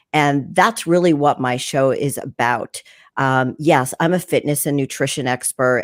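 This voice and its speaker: On a very clean recording with a silent background, a woman speaks at a moderate pace. Her pitch is very deep and low, with ordinary variation. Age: 60s. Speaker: fitness and nutrition show host. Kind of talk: casual chat.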